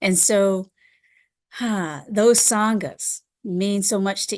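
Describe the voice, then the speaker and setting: A woman is speaking. Her pitch is medium. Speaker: Buddhist teacher. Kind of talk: dharma talk. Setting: live stream. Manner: halting, with many fillers.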